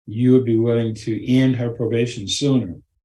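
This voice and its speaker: A man speaks at a medium pitch and moderate pace in a dark, mellow, somewhat breathy voice. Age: 80s+. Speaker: anger management instructor. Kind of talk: storytelling talk to a group.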